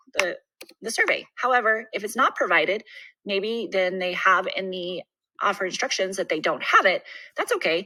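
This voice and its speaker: Bright and sharp in tone, a woman's voice sits at a fairly high pitch. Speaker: realtor. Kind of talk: tutorial. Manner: fast.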